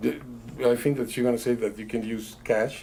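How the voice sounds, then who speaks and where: A man with a strong non-native accent speaks at a fairly quick pace. His tone is dark and mellow. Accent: thick foreign. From Italy (Bologna). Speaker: magician. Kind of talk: casual chat. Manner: halting.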